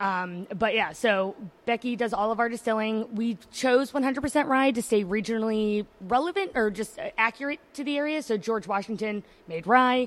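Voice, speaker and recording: In an American accent, a plain, everyday voice speaks with ordinary pitch variation. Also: woman, fairly high pitch for a woman, moderate pace. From New Jersey. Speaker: liquor brand representative. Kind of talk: casual chat. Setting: live at a distillery party.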